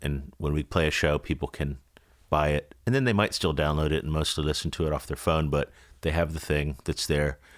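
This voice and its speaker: A man's relaxed, fairly quick speech with vocal fry, on a very clean recording with a silent background. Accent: American. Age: 40s. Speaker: musician. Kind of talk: casual chat. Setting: studio. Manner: relaxed, frequent fillers.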